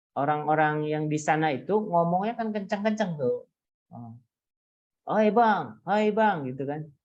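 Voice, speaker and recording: Speech at a fairly slow pace, with lively intonation and big swings in loudness, sits in audible room echo. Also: man, high pitch for a man. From coastal Indonesian village. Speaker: university lecturer. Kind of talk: lecture. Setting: video call.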